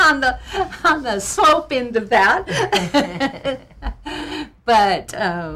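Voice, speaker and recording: A woman's voice has a bright, sharp tone with vocal fry. Her pitch swings very widely. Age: 60s. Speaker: charity worker. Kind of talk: radio interview.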